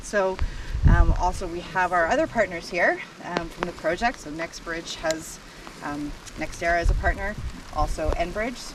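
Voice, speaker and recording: A moderate pace with long, frequent pauses, ordinary pitch variation, big swings in loudness and noticeable background noise. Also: woman, fairly low pitch for a woman. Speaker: event emcee. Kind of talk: ceremony introductions.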